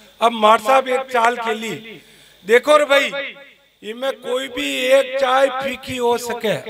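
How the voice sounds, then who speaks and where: Noticeable background noise sits under this man's voice. His pitch is extremely high, with fairly even intonation. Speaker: comic poet. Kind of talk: stage comic storytelling at a poetry gathering.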